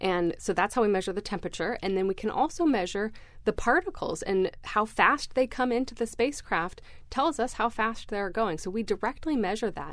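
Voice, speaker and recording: The speaker has a normal speaking voice with lively intonation. The pace is fairly quick over a quiet background. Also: woman, fairly high pitch for a woman. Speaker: research scientist. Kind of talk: radio interview.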